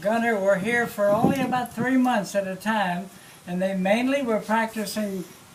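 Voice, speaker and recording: Noticeable background noise runs through the clip. The speaker keeps a fairly even intonation. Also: man. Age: 80s+. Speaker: WWII navy veteran and museum guide. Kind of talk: museum tour talk. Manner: halting, with fillers and repeats.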